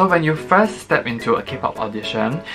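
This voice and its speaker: With clear music behind him, a man speaks at a fairly quick pace. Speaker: audition tips vlogger. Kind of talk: tutorial. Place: home room.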